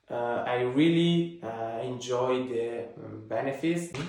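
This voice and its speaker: A man talks with an Italian accent and ordinary pitch variation. Audible room echo surrounds the voice. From Italy. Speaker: fitness vlogger. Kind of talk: casual vlog talk. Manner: halting, many fillers.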